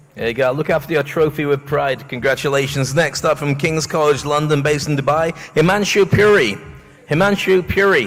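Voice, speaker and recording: Music plays in the background while a man with a fairly high pitch and ordinary pitch variation talks at a fairly quick pace. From northeast England. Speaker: awards ceremony host. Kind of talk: live event hosting. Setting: stage with audience. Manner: jokey, upbeat.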